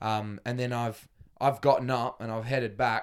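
With an Australian accent, a man talks at a medium pitch and with fairly even intonation. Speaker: footballer. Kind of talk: casual chat.

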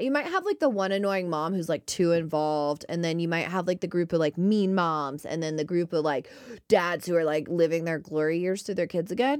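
At a fairly quick pace, a woman speaks in a fairly low pitch with ordinary pitch variation and an animated tone. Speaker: podcast co-host. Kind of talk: casual chat.

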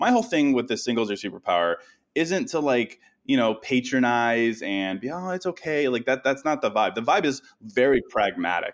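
Heard in a very clean recording with a silent background, a man with a normal speaking voice talks at a moderate pace. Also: medium pitch for a man, lively intonation. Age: 30s. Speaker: writer and podcaster. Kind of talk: podcast interview.

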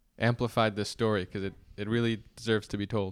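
On a very clean recording with a silent background, a man uses an ordinary speaking voice, fairly low in pitch, at a fairly quick pace with ordinary pitch variation. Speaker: podcast host.

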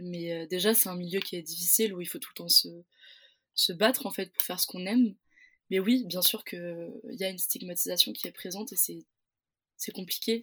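A woman with a bright, sharp tone talks at a fairly quick pace, at medium pitch with ordinary pitch variation and big swings in loudness. Long, frequent pauses break up her speech on a very clean recording with a silent background. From southern France, Pyrenees. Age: 20s. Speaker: theatre student. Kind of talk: interview. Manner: halting.

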